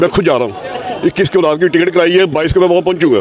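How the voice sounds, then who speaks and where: Amid noticeable background noise, a man speaks at a high pitch with ordinary pitch variation. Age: 70s. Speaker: passer-by interviewee. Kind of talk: street interview.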